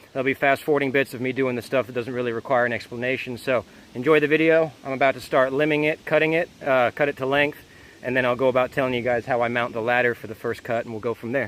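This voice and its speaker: Speaking very fast, a man keeps a medium pitch and fairly even intonation. Noticeable noise sits in the background. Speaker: homesteader, DIY tutorial maker. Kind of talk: tutorial. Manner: loud, yelling over equipment noise; casual, with fillers.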